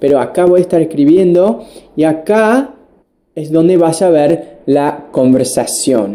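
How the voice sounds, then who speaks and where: With a slight Buenos Aires accent, a man talks at a fairly slow pace using lively intonation. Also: fairly high pitch for a man. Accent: Argentine (porteño) touch in his Spanish. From United States. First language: English (speaking Spanish). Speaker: English teacher. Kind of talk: online language lesson. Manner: casual, with fillers and restarts.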